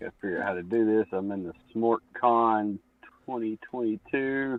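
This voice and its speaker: A man with a Southern US accent, fairly low pitch, fairly slow pace and fairly even intonation. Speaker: stream co-host. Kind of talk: casual chat. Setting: live stream.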